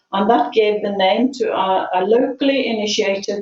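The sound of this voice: At a fairly slow pace, a woman speaks with a medium pitch and a slightly mellow tone.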